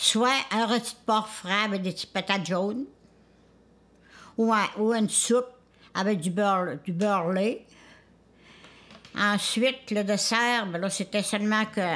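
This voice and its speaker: With a Charlevoix accent, a woman speaks at a medium pitch and a fairly slow pace, using ordinary pitch variation. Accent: rural Quebec French (Charlevoix). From Quebec, Charlevoix (Isle-aux-Coudres). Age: 90s. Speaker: elder sharing food traditions. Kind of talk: casual interview testimony. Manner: halting, with self-corrections.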